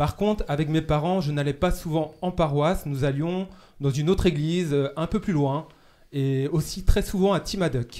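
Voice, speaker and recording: A man talks at a moderate pace. His voice is fairly high-pitched with a dark, mellow tone. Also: ordinary pitch variation. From Brittany, Morbihan (France). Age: 30s. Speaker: seminarian. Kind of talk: casual chat. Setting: studio. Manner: halting.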